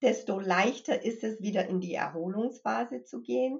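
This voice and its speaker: A woman speaking at a fairly slow pace. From US Midwest and Connecticut, moved to Germany at 15. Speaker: mindfulness trainer and grief counselor. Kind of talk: interview conversation.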